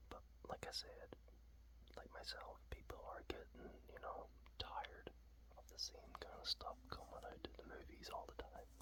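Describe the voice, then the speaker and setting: Relaxed tone at a moderate pace, with noticeable background noise. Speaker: ASMR content creator. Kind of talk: ASMR whispered talk to camera about a comic. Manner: whispered, relaxed.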